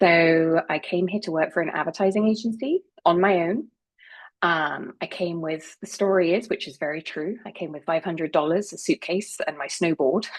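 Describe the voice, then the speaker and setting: At a moderate pace, a woman with a fairly low pitch speaks with an English accent against a quiet background. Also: ordinary pitch variation. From England. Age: 50s. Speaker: marketing professional and speaker. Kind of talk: talk to a community group.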